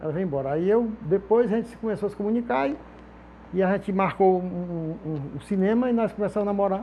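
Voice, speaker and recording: A man talks at a very fast pace in a high voice. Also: ordinary pitch variation. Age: old. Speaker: sculptor. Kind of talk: casual interview talk. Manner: halting, many repeated words.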